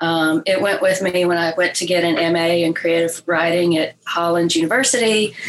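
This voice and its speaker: Over noticeable background noise, a woman with a Southern US accent speaks at a fairly low pitch, with hardly any pauses, very even loudness and fairly even intonation. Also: moderate pace. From Mississippi, Oxford. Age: 50s. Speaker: artist and creative writing teacher. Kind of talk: interview.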